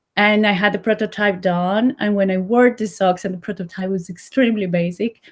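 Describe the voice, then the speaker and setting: The speaker has a Colombian accent, moves at a fairly quick pace and leaves hardly any pauses. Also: woman, medium pitch for a woman, fairly even intonation. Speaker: sock brand founder. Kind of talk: interview.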